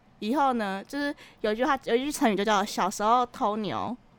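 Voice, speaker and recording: Here is a woman with an ordinary speaking voice, fairly high in pitch and fairly quick in pace. Her pitch varies normally, and the recording is very clean with a silent background. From Taiwan, Keelung. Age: 20s. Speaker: podcast co-host. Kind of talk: casual chat.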